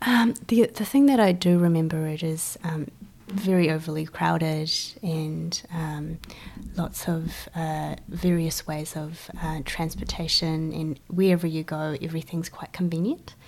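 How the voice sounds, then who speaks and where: Over noticeable background noise, a woman talks at a fairly slow pace, with a fairly low pitch and ordinary pitch variation. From China, moved to New Zealand as a child. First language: Chinese. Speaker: event organiser and photographer. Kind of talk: interview.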